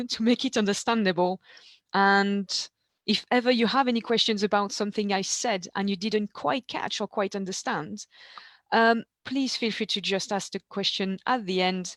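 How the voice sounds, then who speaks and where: Dry and close with no echo, the speech moves at a moderate pace with ordinary pitch variation. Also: woman, medium pitch for a woman. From eastern France. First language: French. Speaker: ancient food specialist. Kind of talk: webinar presentation. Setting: video call.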